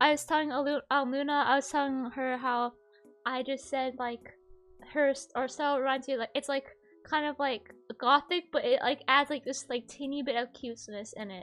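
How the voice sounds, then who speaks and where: Music plays behind the speaker. She is a woman with a high-pitched voice. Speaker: vtuber podcast host. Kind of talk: casual chat. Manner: animated; fast.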